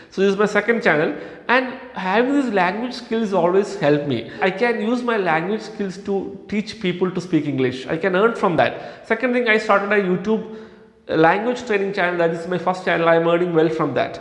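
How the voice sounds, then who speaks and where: The speaker has a Kerala accent and a moderate pace with ordinary pitch variation. Audible room echo and noticeable background noise come through. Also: man, high pitch for a man. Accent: Indian English (Kerala). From India, Kerala. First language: Malayalam. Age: 30s. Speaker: English language trainer, YouTuber. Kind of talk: motivational talk.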